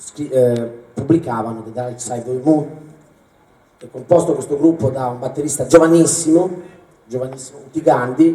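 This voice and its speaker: The speech moves at a fairly quick pace. Room echo is audible. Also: man. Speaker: concert presenter. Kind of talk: stage introduction. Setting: stage with audience. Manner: halting.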